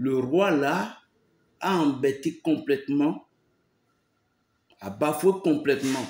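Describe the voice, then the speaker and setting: A man is talking here. His pace is very slow. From Benin. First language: a Beninese language, not French (speaking French). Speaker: pastor. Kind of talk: preaching monologue. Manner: emphatic, repetitive.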